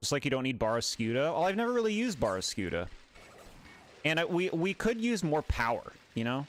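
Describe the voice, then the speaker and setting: Very fast and very even in loudness, a man's fairly high voice makes very wide pitch swings, broken by long, frequent pauses. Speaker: gaming streamer. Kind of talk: casual livestream commentary. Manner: casual, chatty.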